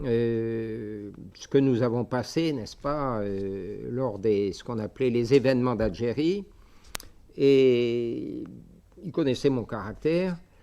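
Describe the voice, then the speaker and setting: A man at medium pitch with a slight Algerian accent, a very slow pace, ordinary pitch variation and big swings in loudness. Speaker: bishop, missionary priest. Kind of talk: lecture. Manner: halting, many hesitations.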